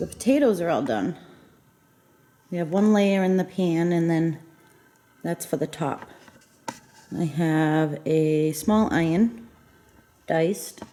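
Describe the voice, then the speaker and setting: This soft-spoken woman has a fairly low pitch and ordinary pitch variation. She talks very slowly, with long, frequent pauses. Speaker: home cooking vlogger. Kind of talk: cooking tutorial. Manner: casual.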